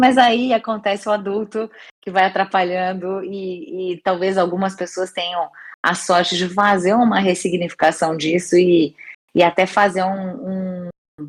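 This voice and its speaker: Her pace is fairly slow. The woman's intonation is fairly even. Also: medium pitch for a woman. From interior of São Paulo state, Brazil (Bauru). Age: 40s. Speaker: career development consultant and mountaineer. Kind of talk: podcast interview. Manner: hesitant, with repeated words.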